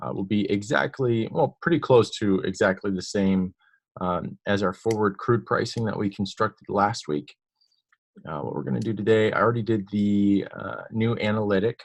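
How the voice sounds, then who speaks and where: In a quiet background, a man with fairly low pitch and an unremarkable speaking voice talks at a moderate pace with ordinary pitch variation. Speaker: software demo presenter. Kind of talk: tutorial.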